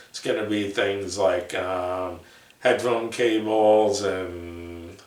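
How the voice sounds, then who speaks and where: Over noticeable background noise and audible room echo, a man talks very slowly at a fairly low pitch. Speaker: headphone reviewer. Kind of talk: product review video. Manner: halting, many fillers.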